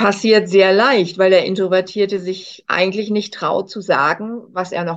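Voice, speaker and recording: A woman's voice at medium pitch, moderate pace and fairly even intonation. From northern Germany, Hamburg. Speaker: coach and speaker. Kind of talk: interview.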